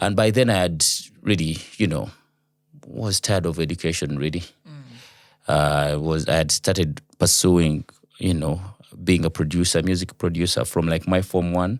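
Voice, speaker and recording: In a Ugandan accent, a man with very deep, low pitch speaks at a moderate pace with ordinary pitch variation. His speech has long, frequent pauses. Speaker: radio producer and voice over artist. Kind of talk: interview answer.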